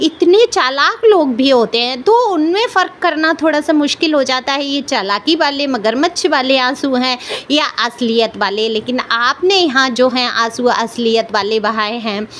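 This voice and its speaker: Loud and high-pitched, a woman speaks with lively intonation and hardly any pauses. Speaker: tarot card reader. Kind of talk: tarot reading monologue. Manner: loud, raised pitch.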